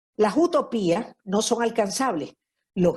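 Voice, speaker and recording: Somewhat breathy, a woman talks at a very slow pace with lively intonation. The background is quiet. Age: 70s. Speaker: lecturer on marriage. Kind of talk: lecture. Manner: conversational, frequent fillers.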